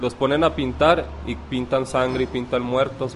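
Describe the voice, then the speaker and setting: At a moderate pace, a man of medium pitch speaks in a normal speaking voice. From Ciudad Juárez, Mexico. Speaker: community activist. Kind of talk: interview.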